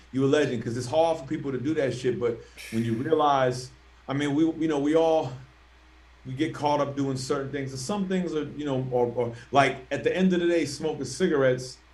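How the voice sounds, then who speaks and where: Audible room echo surrounds a man with an American accent who talks fairly quickly at a fairly high pitch. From Philadelphia, US. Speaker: rapper. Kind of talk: casual chat. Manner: fast; animated.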